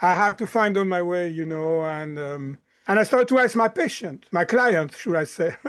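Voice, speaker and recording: Against a quiet background, a man talks with a slight French accent. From France, Lyon. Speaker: chiropractor and mind-body coach. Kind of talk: podcast interview.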